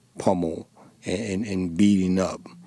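A man with a strong Dominican accent speaks at a moderate pace in a very deep, low voice, his intonation flat and monotone. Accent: thick Spanish (Dominican) accent in English. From Dominican Republic. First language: Spanish. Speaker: former police officer and war veteran. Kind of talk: interview. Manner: halting, many fillers and repeated words.

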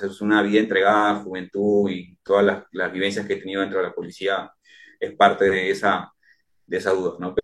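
A man's fairly low voice comes through at a moderate pace. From Peru, Chincha. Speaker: police officer and entrepreneur. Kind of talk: interview testimony. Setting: remote call from home. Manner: halting, many fillers and repetitions.

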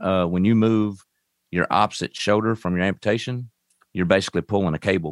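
A man in a Kentucky accent has a very deep, low pitch and fairly even intonation. He talks at a fairly quick pace in a dry, close sound with no echo. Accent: Southern US, Kentucky. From Western Kentucky (Owensboro). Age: 40s. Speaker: amputee advocate. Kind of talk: interview storytelling. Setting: studio.

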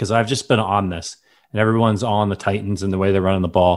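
On a very clean recording with a silent background, a man with a Midwestern American accent speaks at a fairly low pitch. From US Midwest. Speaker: sports podcast host. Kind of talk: casual chat.

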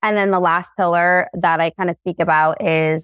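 Heard dry and close with no echo, a woman speaks in an ordinary speaking voice at a medium pitch and a moderate pace. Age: 20s. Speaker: social media content creator. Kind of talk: casual chat. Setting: video call.

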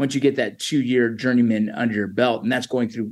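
With fairly even intonation, a normal speaking voice talks at a fairly quick pace. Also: man. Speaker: army veteran and former border patrol agent. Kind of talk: interview conversation. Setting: video call.

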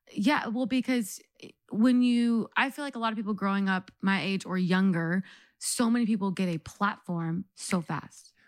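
In a very clean recording with a silent background, a woman has an unremarkable speaking voice. She speaks at a medium pitch and moderate pace with ordinary pitch variation. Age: 30s. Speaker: ministry worker, co-host. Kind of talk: casual chat.

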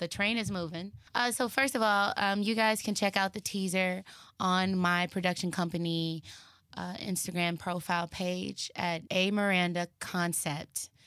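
The tone is bright and sharp, the intonation fairly even, and the pace moderate, captured in a very clean recording with a silent background. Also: woman, medium pitch for a woman. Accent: Texan. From Texas, Dallas. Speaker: actress and filmmaker. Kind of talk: casual chat. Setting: studio.

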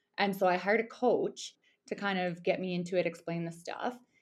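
With a western Canadian accent, the speaker goes at a moderate pace against a quiet background. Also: woman. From Alberta, Canada. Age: 30s. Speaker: ultramarathon runner. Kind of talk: casual interview chat.

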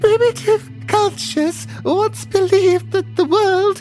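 Over clear background music, a put-on character voice comes out wheezy and breathy. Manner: quiet, soft-spoken.

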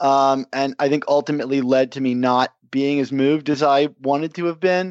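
This is a normal speaking voice delivered at a moderate pace. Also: man. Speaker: entertainment writer and podcast host. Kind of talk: casual chat.

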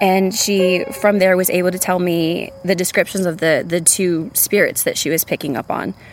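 A woman with an American accent, medium pitch, fairly even intonation and a moderate pace over noticeable background noise. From San Antonio, Texas. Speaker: storyteller. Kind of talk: testimony.

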